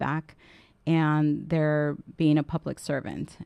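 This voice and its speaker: A woman's very deep, low voice, dark and mellow in tone, in a flat monotone, with a dry, close sound, no echo, and a quiet background. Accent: Spanish. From Southern California, immigrant from Guatemala at age four. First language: Spanish. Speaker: political council president and legislative staffer. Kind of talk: radio interview.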